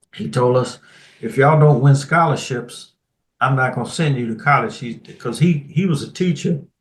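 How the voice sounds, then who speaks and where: A somewhat breathy man speaks at a fairly high pitch with big swings in loudness. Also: ordinary pitch variation, moderate pace. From Washington DC. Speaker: retired Air Force colonel. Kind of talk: interview answer.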